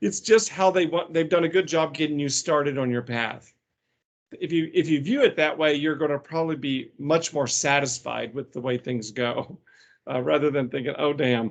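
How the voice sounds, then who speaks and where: The speaker has a plain, everyday voice and talks at a moderate pace. There is a quiet background. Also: man, fairly high pitch for a man, ordinary pitch variation. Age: 60s. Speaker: healthcare executive and guest speaker. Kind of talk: career advice talk.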